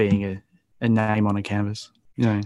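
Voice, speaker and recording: With an Australian accent, a man speaks in a fairly low, monotone, flat voice on a very clean recording with a silent background. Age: 40s. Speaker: graffiti artist and painter. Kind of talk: casual interview.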